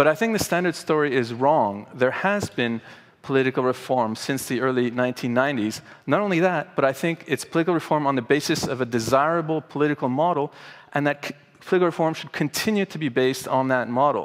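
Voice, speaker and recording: Against a quiet background, a man with an ordinary speaking voice talks at a fairly quick pace and a fairly high pitch with ordinary pitch variation. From Canada, Montreal. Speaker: professor of political philosophy. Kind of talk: conference talk. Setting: stage with audience. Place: hall. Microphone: headset.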